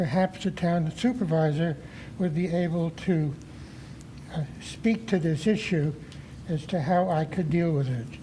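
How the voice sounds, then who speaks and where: Speaking fairly slowly with long, frequent pauses, a man has a high pitch, ordinary pitch variation and a dark, mellow tone. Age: 80s+. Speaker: resident speaking at public comment. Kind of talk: public comment at town board meeting. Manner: halting, with many fillers.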